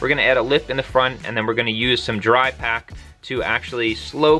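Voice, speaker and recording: Faint music plays in the background as a man talks at a fairly quick pace. His pitch shows ordinary variation. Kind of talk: casual tour narration. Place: bus. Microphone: phone near.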